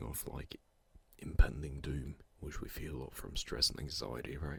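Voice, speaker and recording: Using vocal fry, a man speaks at a moderate pace with a very deep, low pitch. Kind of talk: ASMR close-mic sleep talk.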